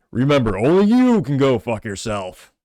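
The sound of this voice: A man's put-on character voice at a medium pitch. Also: moderate pace.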